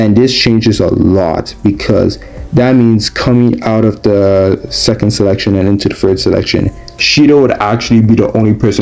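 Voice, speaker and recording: Noticeable background noise sits behind a man with a fairly low pitch. He keeps a moderate pace and ordinary pitch variation. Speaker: anime commentary youtuber. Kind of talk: casual video commentary. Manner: hesitant with fillers.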